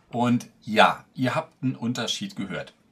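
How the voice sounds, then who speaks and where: A man is speaking. His pace is fairly slow. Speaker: tech reviewer. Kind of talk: casual review vlog. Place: home room.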